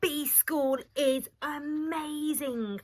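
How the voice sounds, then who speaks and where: A woman's put-on character voice at a high pitch. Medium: read story. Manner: hesitant, hums and ums.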